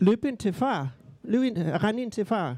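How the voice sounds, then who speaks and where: Speaking at a fairly slow pace with a Southern Jutland accent, a man with a dark, mellow tone uses lively intonation, recorded in a dry, close sound with no echo against a quiet background. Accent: Southern Jutland Danish. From Southern Jutland, Denmark. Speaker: author and playwright. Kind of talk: interview conversation. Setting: café.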